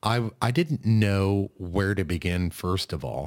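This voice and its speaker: At a very slow pace and with lively intonation, the speaker comes through in a very clean recording with a silent background. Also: man. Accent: American. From US Midwest (northeast Kansas). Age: 30s. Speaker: podcast host. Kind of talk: casual interview chat.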